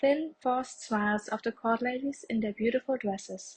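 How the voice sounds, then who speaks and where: A woman with a non-native accent and fairly high pitch speaks at a moderate pace with fairly even intonation, the sound dry and close with no echo against a quiet background. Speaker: audiobook narrator. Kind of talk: reading aloud.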